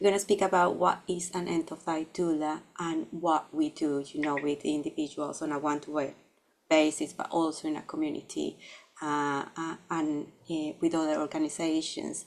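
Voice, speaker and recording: Speaking in a Latin American accent, a woman uses a very deep, low pitch. Her intonation is monotone and flat, at a moderate pace. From Colombia. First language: Spanish. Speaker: psychologist and end-of-life doula. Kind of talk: webinar presentation. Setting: online webinar.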